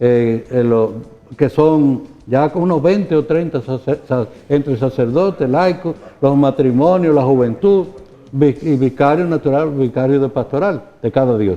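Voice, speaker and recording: A man speaks at a fairly high pitch and a fairly slow pace, with ordinary pitch variation. His loudness stays very even over noticeable background noise. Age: 80s+. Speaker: bishop. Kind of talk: interview answers. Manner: halting.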